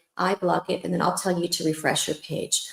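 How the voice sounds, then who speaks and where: The tone is animated. The voice belongs to a woman. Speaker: lupus support chat host. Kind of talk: live-stream support chat. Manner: fast.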